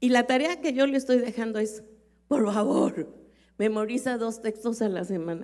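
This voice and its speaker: At a moderate pace, a woman uses an ordinary speaking voice pitched fairly high. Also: ordinary pitch variation. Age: 60s. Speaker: pastor. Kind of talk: sermon.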